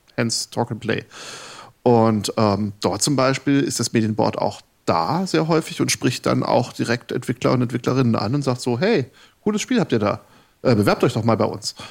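A man at medium pitch talks at a fairly slow pace in an unremarkable speaking voice with ordinary pitch variation. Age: 40s. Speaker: game developer and lecturer. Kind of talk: casual chat. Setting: live radio studio with audience.

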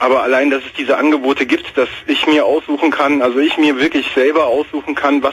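There is noticeable background noise. Over it, a man with a fairly high pitch talks at a very fast pace. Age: 20s. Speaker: caller. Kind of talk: casual chat.

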